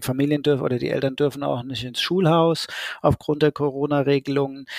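A man's medium-pitched, plain, everyday voice with fairly even intonation and a dry, close sound with no echo. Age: 30s. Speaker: school social worker. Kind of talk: interview.

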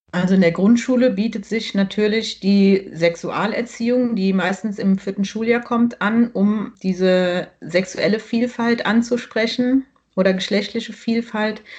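A woman speaks at a fairly high pitch and a fairly slow pace. Her voice is somewhat breathy, with hardly any pauses. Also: fairly even intonation. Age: 40s. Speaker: primary school teacher. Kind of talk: casual interview.

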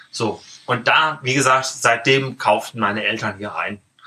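A man with a plain, everyday voice speaks at a moderate pace. His intonation stays fairly even. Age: 30s. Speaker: bookshop owner. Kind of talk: casual interview. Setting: in his bookshop.

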